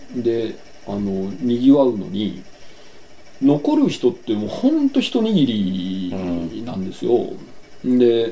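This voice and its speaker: A man at a medium pitch and very slow pace, with ordinary pitch variation, long, frequent pauses and audible room echo. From Yokohama, Japan. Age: 40s. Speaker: painter and farmer. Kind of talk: interview.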